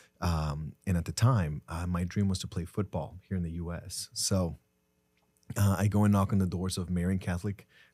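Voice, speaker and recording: A man with a Spanish accent, a very deep, low pitch, a dark, mellow tone, fairly even intonation and a moderate pace, on a very clean recording with a silent background. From Mexico, Tijuana. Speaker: entrepreneur. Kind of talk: podcast interview.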